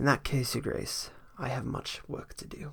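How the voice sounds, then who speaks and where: A man's raspy, fairly high put-on character voice at a moderate pace, with big swings in loudness. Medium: read story. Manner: wry, sharp.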